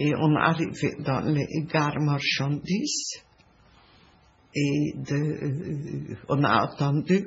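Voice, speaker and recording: Very deep and low in pitch, a woman's voice carries vocal fry and fairly even intonation at a very slow pace. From Hungary. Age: 80s+. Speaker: Holocaust survivor. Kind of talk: interview answer. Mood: sad, reflective memories.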